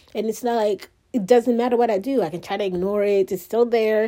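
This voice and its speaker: A woman with an African accent and a dark, mellow tone, speaking at a moderate pace. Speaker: solo podcaster. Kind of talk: personal monologue. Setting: recorded on phone, no microphone. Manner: rambling; halting.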